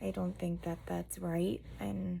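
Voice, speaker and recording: A woman whispers quietly. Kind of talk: personal testimony talk to camera.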